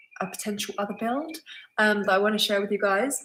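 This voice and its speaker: The speaker has a southern English accent and fairly even intonation. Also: woman. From England, Suffolk. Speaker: vlogger. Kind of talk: live Q&A stream. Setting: live stream at home. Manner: casual, hesitant with many ums.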